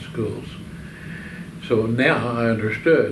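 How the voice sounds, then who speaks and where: A man of medium pitch talks with an American accent amid noticeable background noise and audible room echo. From Oklahoma. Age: 80s+. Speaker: war veteran. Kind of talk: oral history interview. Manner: halting.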